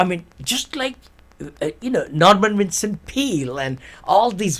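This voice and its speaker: A man at a fairly slow pace, with very wide pitch swings. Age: 70s. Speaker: author and real estate investor. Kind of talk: interview. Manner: animated.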